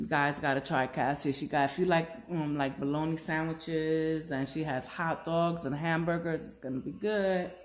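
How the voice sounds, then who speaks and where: A woman with a normal speaking voice talks at a moderate pace and fairly low pitch. Her intonation is fairly even. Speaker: accessory seller. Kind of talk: casual live stream chat. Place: home room. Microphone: phone near.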